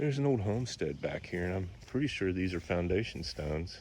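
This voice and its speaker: Somewhat breathy, a man speaks at a very deep, low pitch. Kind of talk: casual walkthrough narration to camera. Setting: outdoors.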